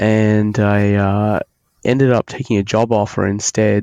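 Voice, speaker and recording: In a dry, close sound with no echo and a quiet background, a man with a fairly low pitch speaks at a very slow pace. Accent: Australian. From Australia. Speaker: software engineer, author. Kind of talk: podcast interview. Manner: halting, many fillers.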